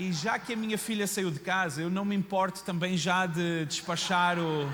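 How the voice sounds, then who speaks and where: A man with a high voice talks at a moderate pace in an animated tone, with audible room echo and noticeable background noise. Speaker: pastor. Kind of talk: sermon. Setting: church.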